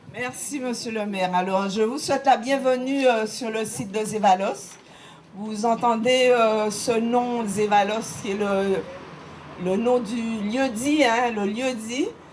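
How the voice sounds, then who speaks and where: A woman's fairly high voice at a very slow pace with ordinary pitch variation, amid audible room echo and noticeable background noise. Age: 70s. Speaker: local history guide. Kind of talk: guided site talk.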